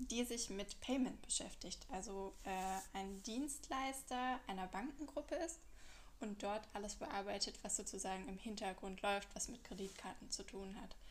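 With vocal fry, a woman talks at a medium pitch and a fairly slow pace. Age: 30s. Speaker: podcaster, fraud manager. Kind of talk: casual monologue. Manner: hesitant, many fillers.

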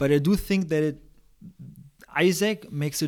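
An unremarkable speaking voice, lively intonation, moderate pace. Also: man. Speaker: podcast host. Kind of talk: casual interview; scripted outro.

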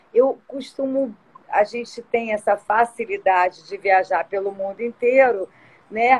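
Her voice is an ordinary speaking voice, fairly high in pitch with fairly even intonation, at a fairly slow pace. This woman's loudness swings a lot, and the sound is dry and close with no echo. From Rio de Janeiro, Brazil (born São Paulo, moved at two). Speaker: tourism business owner. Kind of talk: live-stream interview. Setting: online live stream.

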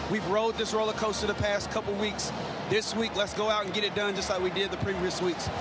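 Music plays in the background while a man talks at a fairly quick pace. His pitch is high. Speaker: radio color analyst, former player. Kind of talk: live commentary analysis. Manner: conversational, explanatory.

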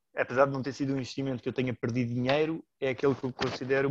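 In a dry, close sound with no echo and a quiet background, a man talks very fast at a medium pitch with monotone, flat intonation. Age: 30s. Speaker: amateur investor, works in advertising. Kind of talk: casual interview.

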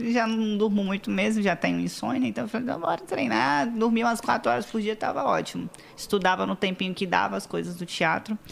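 A woman speaks at a fairly quick pace in an ordinary speaking voice, with medium pitch, lively intonation and hardly any pauses. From Espírito Santo, Brazil (Vila Velha). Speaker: model and digital influencer. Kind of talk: casual chat.

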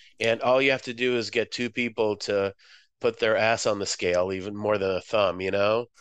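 Using a normal speaking voice, a man with an American accent talks at a moderate pace with a fairly low pitch and fairly even intonation. The sound is dry and close with no echo, and the background is quiet. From Moscow, Russia; raised Boston area from age seven. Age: 50s. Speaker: visual artist and writer. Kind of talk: interview.

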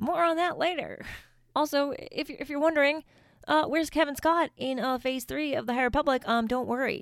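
A woman speaks at a fairly quick pace in a high voice with ordinary pitch variation, on a very clean recording with a silent background. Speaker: podcast host. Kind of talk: casual solo podcast recap from notes. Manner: fast talker; casual, chatty, with filler words.

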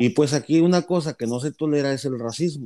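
His tone dark and mellow, a man talks at a fairly quick pace with ordinary pitch variation. The recording is very clean, and the background silent. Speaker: podcast host. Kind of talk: casual chat.

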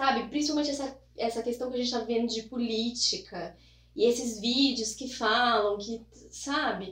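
Her pitch is high, and this woman talks at a moderate pace with ordinary pitch variation. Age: 30s. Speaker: newspaper reporter. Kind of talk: casual interview.

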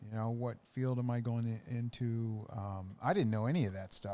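This man with an American accent talks at a fairly quick pace in a medium pitch, his tone dark and mellow and his intonation fairly even. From US Midwest, Wisconsin. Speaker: salesman and mattress business owner. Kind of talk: casual chat.

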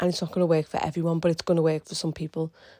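A dark, mellow voice with an English accent sounds dry and close with no echo on a very clean recording with a silent background. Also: woman. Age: 30s. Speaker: fitness coach. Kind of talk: casual monologue. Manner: animated.

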